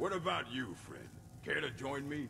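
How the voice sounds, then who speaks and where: Putting on a character voice at a fairly high pitch, a man speaks at a moderate pace over clear background noise. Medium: video game. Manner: theatrical.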